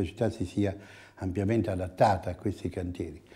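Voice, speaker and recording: A man speaks in a dark, mellow tone with fairly even intonation. The background is quiet. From Italy. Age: 70s. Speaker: architect. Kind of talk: interview. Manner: halting. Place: office. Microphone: lapel.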